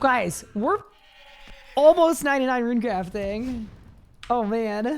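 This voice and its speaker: A woman speaks very slowly in a high voice with lively intonation, leaving long, frequent pauses. Music plays in the background. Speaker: video game streamer. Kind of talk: live stream gameplay chat. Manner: casual, chatty.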